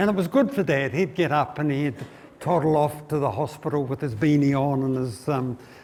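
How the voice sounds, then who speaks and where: A man with a New Zealand accent and a fairly high pitch. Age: 70s. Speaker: financial speaker. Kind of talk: seminar talk. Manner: halting.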